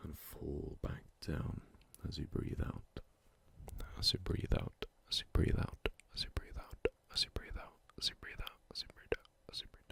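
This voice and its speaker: A man whispers at a moderate pace with long, frequent pauses and big swings in loudness, the sound dry and close with no echo. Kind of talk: ASMR close-mic sleep talk.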